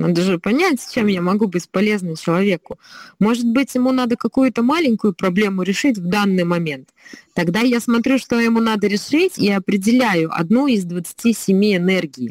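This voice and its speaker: In a dry, close sound with no echo, a woman with an ordinary speaking voice talks at a medium pitch with lively intonation. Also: moderate pace. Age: 30s. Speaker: slavic gymnastics trainer. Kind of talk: casual chat.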